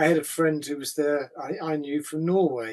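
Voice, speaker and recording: The speaker uses an English accent and a moderate pace. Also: man. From England. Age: 70s. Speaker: writer and activist. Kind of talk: answering questions in a talk. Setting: video call.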